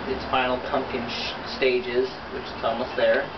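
A man keeps a moderate pace as loud background noise surrounds his speech. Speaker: potter. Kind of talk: casual pottery tutorial talk. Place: workshop. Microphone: camera far.

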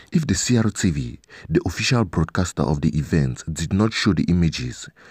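In a very clean recording with a silent background, a low-pitched man talks at a moderate pace with lively intonation, a slightly mellow tone and a slightly husky edge.

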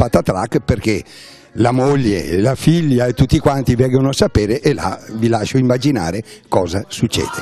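This is a man speaking. He talks with a Venetian accent. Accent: Venetian Italian. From Treviso, Veneto, Italy. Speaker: amateur theatre actor. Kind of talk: interview testimony.

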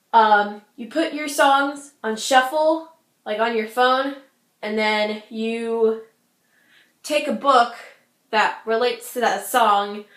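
At a very slow pace with long, frequent pauses, a woman speaks at a fairly high pitch with ordinary pitch variation against a quiet background, with audible room echo. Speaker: booktuber; book vlogger. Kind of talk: casual vlog. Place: home room. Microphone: webcam.

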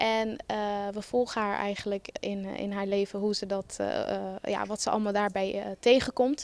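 This woman has a medium pitch and little pitch movement, and she talks at a moderate pace.

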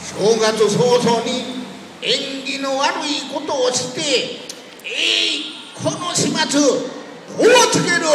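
A man with a Tosa accent speaks at an extremely high pitch and a very slow pace, with lively intonation, long and frequent pauses, and noticeable background noise. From Kochi, Japan. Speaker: storyteller. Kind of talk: kamishibai picture-story performance. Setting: outdoors, street.

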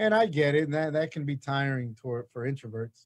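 Speaking at a fairly quick pace, a man shows ordinary pitch variation against a quiet background. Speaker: podcast host. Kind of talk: casual interview chat. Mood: jovial, laughing. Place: studio. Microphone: studio mic.

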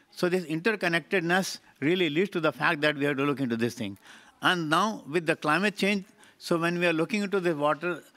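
A man talks at a very fast pace in a fairly high voice. His tone is bright and sharp. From India. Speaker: water research institute representative; speaker. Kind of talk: panel discussion. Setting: conference stage with audience. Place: hall. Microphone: podium.

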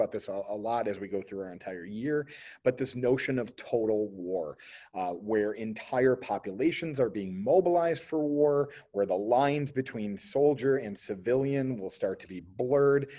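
Against a quiet background, a man of medium pitch speaks at a moderate pace in a dark, mellow tone, with lively intonation and big swings in loudness. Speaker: history teacher. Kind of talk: lecture. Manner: hesitant, many fillers. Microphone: webcam.

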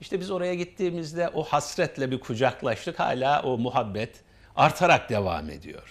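A man with a fairly high pitch speaks with lively intonation and vocal fry. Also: moderate pace. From Turkey, Samsun Ladik; Turkey. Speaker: associate professor. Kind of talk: casual interview chat. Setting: TV studio. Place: studio. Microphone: lapel.

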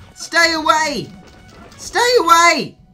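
A woman's voice with music in the background. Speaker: video game commentator. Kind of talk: casual gameplay commentary. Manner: excited, shouting.

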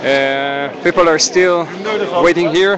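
Noticeable background noise surrounds a man's voice, which has a dry sound with no echo. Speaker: live streamer at protest. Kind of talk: live walking commentary. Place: street. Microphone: phone near.

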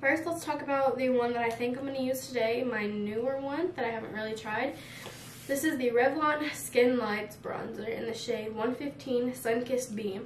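Against noticeable background noise, the voice moves at a moderate pace with ordinary pitch variation. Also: woman, high pitch for a woman. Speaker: makeup vlogger. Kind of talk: casual tutorial. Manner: friendly, chatty.

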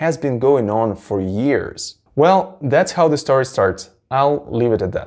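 The background is quiet. A man speaks at a moderate pace with lively intonation. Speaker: book channel host. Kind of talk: commentary. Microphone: lapel.

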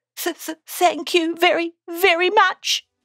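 The voice is a put-on character voice. It sits extremely high in pitch. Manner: timid, hesitant.

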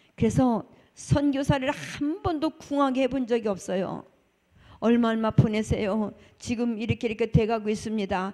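Against a quiet background, a woman with a fairly high pitch and a dark, mellow tone speaks at a moderate pace with lively intonation. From South Korea. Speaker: church deaconess. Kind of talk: testimony. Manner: animated. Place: church. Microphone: handheld.

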